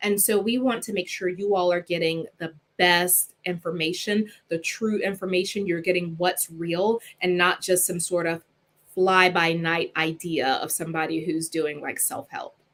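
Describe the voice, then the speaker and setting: The voice belongs to a woman with a fairly low pitch. Her intonation stays fairly even. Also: moderate pace. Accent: Southern US. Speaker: clinical psychologist. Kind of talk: live stream talk.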